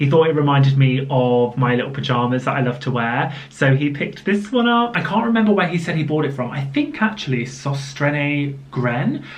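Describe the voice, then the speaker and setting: A woman with a southern English accent speaks in a very deep, low voice, her intonation lively and her tone animated, with hardly any pauses, audible room echo and noticeable background noise. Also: fairly quick pace. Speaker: lifestyle vlogger. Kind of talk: casual vlog talk to camera. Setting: home office.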